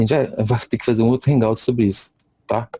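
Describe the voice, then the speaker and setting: A man speaks in a flat monotone at a medium pitch, his somewhat breathy voice dark and mellow in tone. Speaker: lecturer. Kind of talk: lecture. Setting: video call. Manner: halting.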